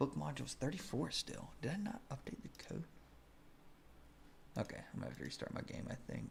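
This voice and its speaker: The speaker moves at a fairly quick pace but leaves long, frequent pauses, with noticeable background noise behind. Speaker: game modder streaming their work. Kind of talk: live-stream working session commentary.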